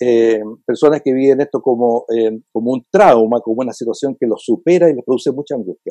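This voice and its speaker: Dark and mellow in tone, a man's medium-pitched voice moves at a fairly quick pace with ordinary pitch variation, in a dry, close sound with no echo. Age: 70s. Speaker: psychiatrist. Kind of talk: interview.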